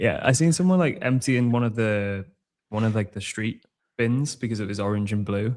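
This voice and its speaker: With a British accent, a man speaks at a medium pitch. His pace is moderate and his pitch variation ordinary. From Britain. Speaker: podcast co-host. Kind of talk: casual chat.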